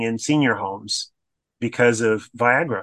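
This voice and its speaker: A man with an American accent, medium pitch, a bright, sharp tone and a fairly slow pace, over a quiet background. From Florida. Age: 50s. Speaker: drag queen and community activist. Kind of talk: casual chat.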